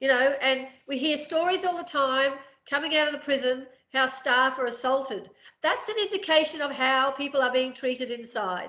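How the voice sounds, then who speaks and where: A woman projects her voice in a raised, high pitch with a bright, sharp tone, speaking at a moderate pace with ordinary pitch variation. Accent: Australian. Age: 50s. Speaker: prison abolition advocate, charity CEO. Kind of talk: interview. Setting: podcast recording.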